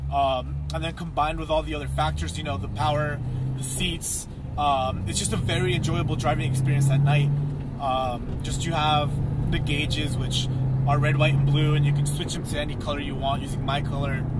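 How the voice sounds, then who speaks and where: A man speaks rather quickly amid loud background noise, the sound dry and echo-free. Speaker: car owner reviewer. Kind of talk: casual car review commentary. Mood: enthusiastic, relaxed. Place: car. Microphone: phone near.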